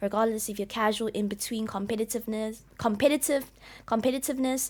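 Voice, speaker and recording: Her intonation is fairly even at a fairly high pitch. The woman speaks at a fairly quick pace. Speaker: event organizer. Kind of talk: explanatory video talk. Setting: on camera. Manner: unscripted, halting with repetitions.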